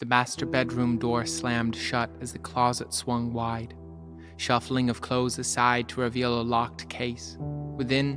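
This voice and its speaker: Music plays in the background as a man speaks at a fairly slow pace. His pitch is medium and his intonation lively. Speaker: spoken word poet. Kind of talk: personal true story told as poem.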